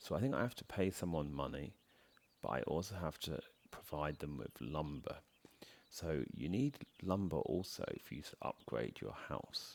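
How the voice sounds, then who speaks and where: Vocal fry runs through this man's very deep, low voice. His intonation is lively, and he keeps a moderate pace. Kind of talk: soft-spoken ASMR gaming commentary. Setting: home recording, voiceover over gameplay.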